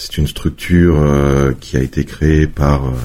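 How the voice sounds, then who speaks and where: A man with a very deep, low pitch over noticeable background noise. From France, Savoie (Chambéry area). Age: 40s. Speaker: tourism agency director. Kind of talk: interview.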